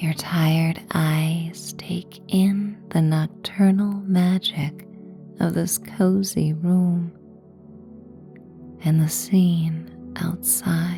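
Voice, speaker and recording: A woman's words come out very slowly. There is music behind her. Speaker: meditation guide. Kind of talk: guided sleep meditation. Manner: calm, soothing, slow.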